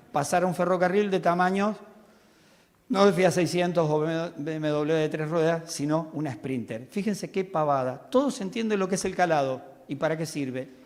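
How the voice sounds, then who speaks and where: An animated man's high-pitched voice at a moderate pace, ordinary in pitch variation, with audible room echo. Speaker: railway technical expert. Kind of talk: conference talk.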